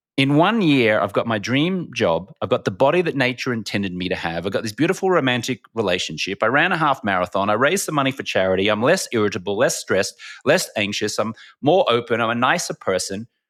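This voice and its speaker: Speaking with an Australian accent, a man talks at a very fast pace in an animated tone. His medium-pitched voice makes very wide pitch swings. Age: 40s. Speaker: former sports TV anchor, entrepreneur. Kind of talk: podcast interview storytelling.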